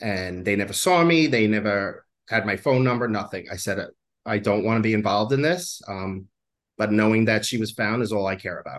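A man with an ordinary speaking voice talks at a fairly quick pace in an American accent. His pitch is fairly low with ordinary variation against a quiet background. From New York. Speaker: psychic medium. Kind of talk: interview.

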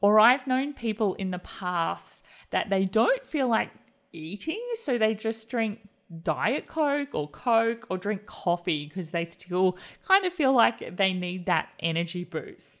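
Speaking at a very slow pace, a woman with fairly high pitch uses lively intonation in a very clean recording with a silent background. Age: 40s. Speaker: wellness podcast host. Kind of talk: solo podcast monologue. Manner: warm, occasionally laughing.

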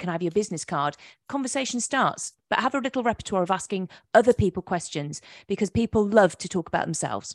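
In an English accent, a woman speaks at a fairly quick pace, the sound dry and close with no echo and the background quiet. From England. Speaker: hypnotherapist. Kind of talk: interview. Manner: halting.

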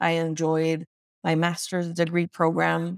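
A woman with an American accent speaks at a fairly slow pace in a fairly low pitch with monotone, flat intonation. The sound is dry and close, with no echo. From US, Dominican American family. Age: 40s. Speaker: clinical social worker and entrepreneur. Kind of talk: casual chat.

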